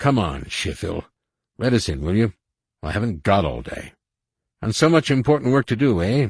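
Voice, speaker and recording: Doing a put-on character voice, a man sounds gruff at medium pitch, with very wide pitch swings, a moderate pace, long and frequent pauses, and a dry, close sound with no echo. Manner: gruff, impatient.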